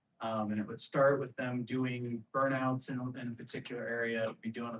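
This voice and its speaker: Quiet and monotone with flat intonation, a man talks at a moderate pace and medium pitch. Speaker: police lieutenant. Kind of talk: presentation at community meeting. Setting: community meeting at police substation. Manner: volume inconsistent, too loud or too quiet.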